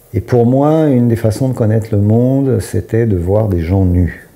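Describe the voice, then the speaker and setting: A man speaks with ordinary pitch variation. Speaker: author and doctor. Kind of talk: interview. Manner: hesitant.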